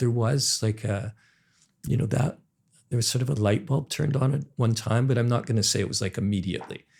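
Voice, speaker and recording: This man's voice carries a somewhat breathy quality. He talks at a fairly quick pace. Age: 60s. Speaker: entrepreneur. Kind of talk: podcast interview.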